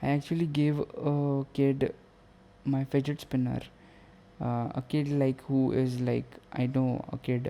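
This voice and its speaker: A man with a non-native accent speaks at a fairly slow pace and medium pitch, his dark, mellow tone held at very even loudness, with flat, monotone intonation and long, frequent pauses. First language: not English. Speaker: podcaster. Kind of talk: casual monologue. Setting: at home late at night. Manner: halting.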